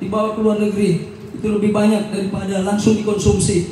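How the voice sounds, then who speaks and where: Through audible room echo and noticeable background noise, a man speaks at a high pitch with monotone, flat intonation. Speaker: legislative candidate. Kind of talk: panel debate. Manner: loud, half-shouting.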